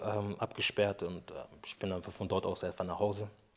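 At a fairly quick pace, a man talks in a fairly low, monotone, flat voice. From Brazil, moved to Germany at ten. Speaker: interview guest telling personal tragedy. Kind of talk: personal testimony in casual interview. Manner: halting, many fillers.

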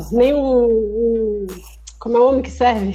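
Speaking at a moderate pace, a woman with an unremarkable speaking voice keeps a fairly high pitch and fairly even intonation. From Brazil, Recife (Pernambuco). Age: 20s. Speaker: cystic fibrosis patient podcaster. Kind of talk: casual chat.

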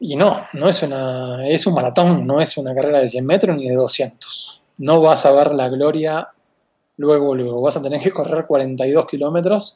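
Speaking at a fairly slow pace, a man with a fairly high pitch has a dark, mellow tone and ordinary pitch variation. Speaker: advertising agency co-founder. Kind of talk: interview.

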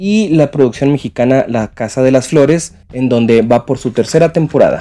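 Dark and mellow in tone, the voice shows ordinary pitch variation. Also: man. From northern Mexico (Chihuahua). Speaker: podcast contributor. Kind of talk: casual presentation. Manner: halting, with fillers.

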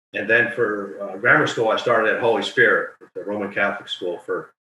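At a moderate pace, a man talks with a New Jersey accent. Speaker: title insurance lawyer. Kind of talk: casual chat.

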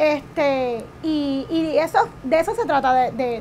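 A woman speaks with a high pitch and lively intonation. There is noticeable background noise. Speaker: keto diet cook and influencer. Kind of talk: interview.

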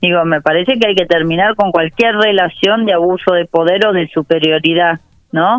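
A woman's normal speaking voice at a fairly low pitch, with ordinary pitch variation, very even loudness and a moderate pace. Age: 30s. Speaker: policy advisor. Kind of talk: interview. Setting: phone call.

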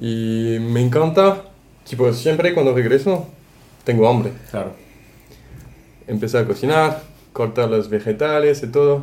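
Using a French accent, a man talks at a medium pitch and a fairly slow pace with a dark, mellow tone and long, frequent pauses. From France, Brittany. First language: French (speaking Spanish). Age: 20s. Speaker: tourism worker. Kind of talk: casual chat.

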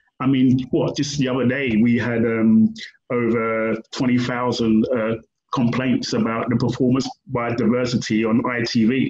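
A man in a London accent talks at a fairly slow pace. His intonation is monotone and flat, and his loudness stays very even. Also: medium pitch for a man. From London, England. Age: 50s. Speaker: writer and activist. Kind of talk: interview. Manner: halting.

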